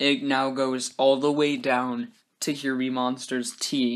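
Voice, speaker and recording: A man speaks at a very slow pace with a medium pitch. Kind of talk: casual gaming commentary. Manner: hesitant, many fillers.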